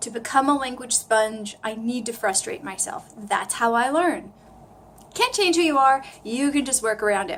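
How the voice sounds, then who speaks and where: Animated in tone, a woman with an American accent speaks at a high pitch. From US East Coast. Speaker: language learner vlogger. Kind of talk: casual vlog tutorial.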